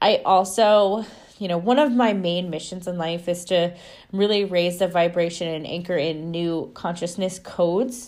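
A woman with an ordinary speaking voice talks at a moderate pace, her pitch fairly low and her pitch variation ordinary. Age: 20s. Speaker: spiritual podcast host. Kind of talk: solo monologue.

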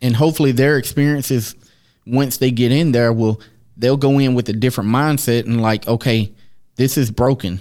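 An unremarkable speaking voice from a man, medium in pitch, at a moderate pace with fairly even intonation, on a very clean recording with a silent background. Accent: American. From US, inner-city projects. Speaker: podcast co-host. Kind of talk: casual chat.

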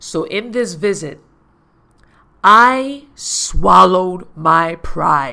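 A woman with an American accent at a very slow pace, with long, frequent pauses. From US Virgin Islands, Saint Thomas. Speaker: podcast host and life coach. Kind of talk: personal storytelling monologue.

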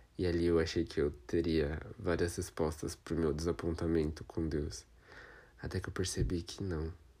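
On a very clean recording with a silent background, a man with a very deep, low pitch speaks fairly slowly in monotone, flat intonation, his tone dark, mellow and somewhat breathy. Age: 20s. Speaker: podcaster and drag queen. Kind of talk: personal testimony monologue.

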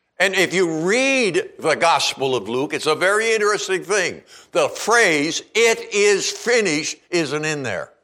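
Against a quiet background, a man in a raised, projected voice speaks at a high pitch and a fairly slow pace, with lively intonation and a bright, sharp tone. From Eastern Canada (Charlottetown, Prince Edward Island). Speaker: preacher. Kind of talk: sermon. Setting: church.

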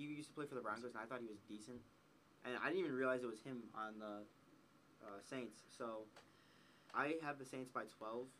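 With an American accent and a bright, sharp tone, the speaker moves at a fairly quick pace with ordinary pitch variation, long, frequent pauses and audible room echo. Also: man, medium pitch for a man. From Wisconsin. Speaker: sports podcast co-host. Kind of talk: casual chat.

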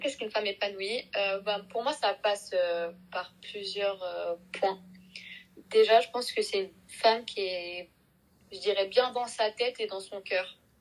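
A plain, everyday voice from a woman at medium pitch, fairly slow in pace, with big swings in loudness. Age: 20s. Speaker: marketing student. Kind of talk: casual chat.

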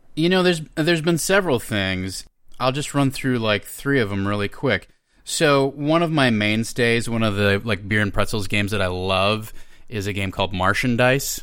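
An ordinary speaking voice from a man with an American accent, medium pitch, moderate pace, and lively intonation, on a very clean recording with a silent background. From Minnesota. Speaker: actor and game writer. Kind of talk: casual chat.

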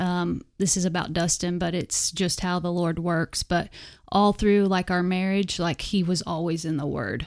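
At a moderate pace, a woman with an American accent talks at medium pitch with fairly even intonation. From Western Oklahoma. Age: 30s. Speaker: disciple-maker, wife and mom. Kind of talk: casual interview. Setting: studio.

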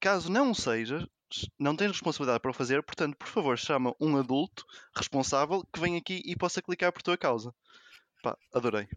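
Fairly high in pitch, this man has a normal speaking voice and lively intonation. The background is quiet, and the sound is dry and close with no echo. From Porto, northern Portugal. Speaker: mathematician. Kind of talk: casual chat.

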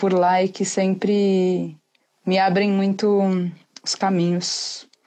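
Her voice has a dark, mellow tone delivered in a flat monotone. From Brazil, São Paulo. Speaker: poet. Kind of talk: casual chat. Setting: live video call.

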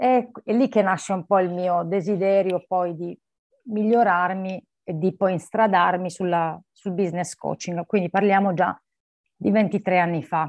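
A woman speaks in a normal speaking voice at medium pitch, with fairly even intonation and a fairly slow pace. The sound is dry and close with no echo, and the background is quiet. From Apulia, southern Italy (Barletta). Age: 40s. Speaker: lawyer and coach. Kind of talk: interview conversation.

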